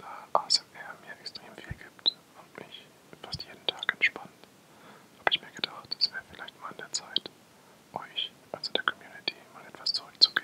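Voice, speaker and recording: A man whispers at a moderate pace, with big swings in loudness. Noticeable background noise runs underneath. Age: 20s. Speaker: ASMR artist. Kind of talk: ASMR whisper introduction to camera. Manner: whispered, soft-spoken.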